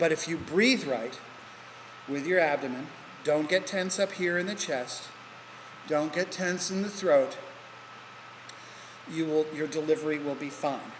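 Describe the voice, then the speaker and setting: Speaking with an American accent at a fairly slow pace, a man with a fairly high pitch shows ordinary pitch variation amid noticeable background noise. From New Jersey / New York area. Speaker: teacher. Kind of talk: lecture. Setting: recorded lecture in a hall. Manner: deliberately slower than normal.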